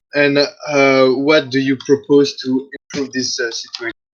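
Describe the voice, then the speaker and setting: A man's fairly high voice with a non-native accent. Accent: heavy non-native. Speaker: audience member asking question. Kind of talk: debate audience question. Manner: halting, many fillers.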